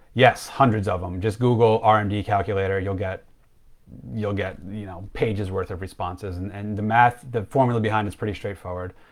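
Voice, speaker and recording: There are big swings in loudness as a man with a fairly low pitch talks at a fairly quick pace. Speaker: financial planner. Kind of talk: live stream Q&A. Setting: Facebook live stream. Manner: fast; animated.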